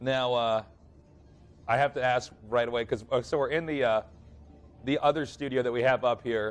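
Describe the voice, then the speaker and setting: A strained male voice broken by long, frequent pauses. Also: medium pitch for a man, fairly even intonation, moderate pace. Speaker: esports commentator. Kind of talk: live commentary. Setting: studio, no headsets. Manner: slightly restrained volume.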